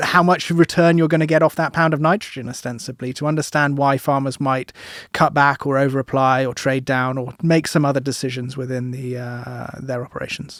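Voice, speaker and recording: A man with a British accent speaks fairly quickly in a fairly high voice with fairly even intonation and hardly any pauses. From UK. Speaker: agricultural economist. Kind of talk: podcast interview.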